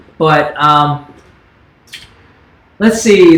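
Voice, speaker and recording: A man speaks with an American accent at a fairly high pitch with ordinary pitch variation. Noticeable background noise and audible room echo come through. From US South. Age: 30s. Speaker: YouTuber. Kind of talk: livestream Q&A chat. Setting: livestream. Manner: casual, relaxed.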